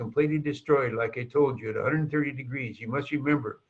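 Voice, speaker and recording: Pitch moves in an ordinary way through a voice with a slight breathy quality. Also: man. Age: 80s+. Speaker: sales presenter. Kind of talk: sales pitch. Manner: animated.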